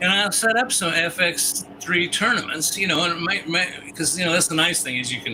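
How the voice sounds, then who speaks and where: The delivery is fairly quick, with hardly any pauses and ordinary pitch variation. Noticeable background noise runs underneath. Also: man, high pitch for a man. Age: 60s. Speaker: pinball tournament organizer on gaming stream. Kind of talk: casual chat. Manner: casual, rambling.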